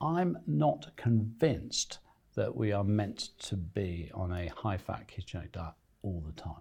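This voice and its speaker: A man with a dark, mellow, somewhat breathy voice speaks at a fairly low pitch and fairly slow pace, with very wide pitch swings. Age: 60s. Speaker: nutrition expert and author. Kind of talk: interview. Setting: studio.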